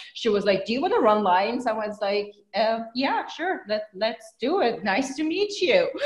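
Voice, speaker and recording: Amid noticeable background noise, a woman with a fairly high pitch speaks at a moderate pace, her pitch swinging very widely, with hardly any pauses. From Iran. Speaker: actress. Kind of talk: interview. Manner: animated.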